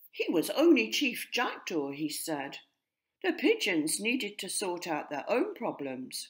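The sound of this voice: Slow and slightly husky, the voice swings very widely in pitch. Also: woman.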